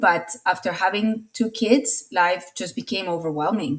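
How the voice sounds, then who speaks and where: A woman speaks in a Latin American accent at medium pitch. Her pitch variation is ordinary. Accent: Spanish-speaking Latin American. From Latin America (Colombia and Venezuela). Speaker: marketing consultant. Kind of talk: interview testimony. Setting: podcast interview.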